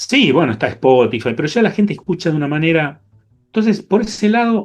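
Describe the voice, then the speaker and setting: A man with a Rioplatense accent talks at a fairly quick pace. His high voice swings very widely in pitch. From Argentina. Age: 60s. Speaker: jazz bassist and music teacher. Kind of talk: interview. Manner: halting.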